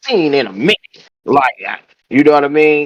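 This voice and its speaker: Dry, close sound with no echo, a man talking at a moderate pace. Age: 50s. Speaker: rapper. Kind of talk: casual interview. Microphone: connection cutting out.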